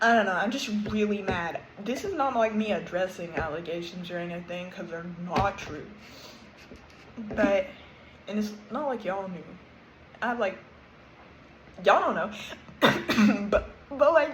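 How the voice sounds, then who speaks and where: A woman at medium pitch speaks with lively intonation, big swings in loudness and long, frequent pauses. Noticeable background noise and audible room echo are present. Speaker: YouTuber. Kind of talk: rant. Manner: sounds sarcastic; awkward, halting.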